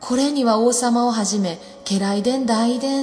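A woman's voice is fairly high in pitch. Background music accompanies her. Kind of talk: folk tale storytelling.

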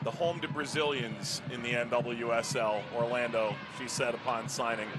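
The man's delivery moves at a moderate pace. Noticeable background noise fills in behind him. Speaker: play-by-play commentator. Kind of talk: sports commentary, crisp play-by-play calls with stats and trivia. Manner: brisk, clipped play-by-play narration; dry, wry humor.

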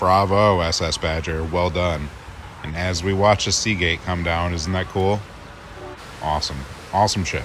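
Recorded with a dry sound and no echo, a man talks at a moderate pace over light background noise. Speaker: travel vlogger. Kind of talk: casual vlog chat. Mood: enthusiastic, upbeat. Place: boat. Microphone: phone near.

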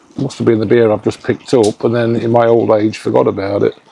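Through noticeable background noise, a man with a medium pitch speaks at a fairly quick pace. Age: 50s. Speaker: vlogger. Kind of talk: casual vlog chat. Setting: outdoors. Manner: animated.

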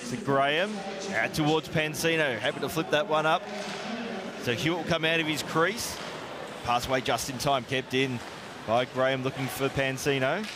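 At a moderate pace and medium pitch, a man speaks with ordinary pitch variation against clear background noise.

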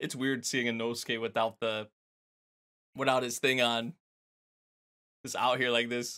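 A man speaks at a moderate pace in a bright, sharp tone, with long, frequent pauses. The background is quiet. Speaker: anime reaction youtuber. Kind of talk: casual reaction commentary. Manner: animated, laughs often. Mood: amused, excited.

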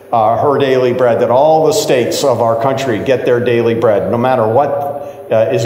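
The room has an audible echo. In it, a man speaks at a moderate pace. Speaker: pastor. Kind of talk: prayer and church announcements. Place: church. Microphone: lapel.

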